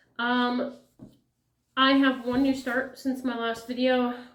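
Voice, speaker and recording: Words come out very slowly, and the room's echo is audible. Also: woman. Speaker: flosstube cross-stitch vlogger. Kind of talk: casual vlog chat. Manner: rambling, many fillers.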